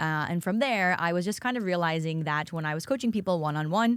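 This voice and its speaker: An unremarkable speaking voice from a woman with an American accent comes at a fairly quick pace and a fairly low pitch, in a very clean recording with a silent background. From United States. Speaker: workplace culture consultant. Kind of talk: podcast interview.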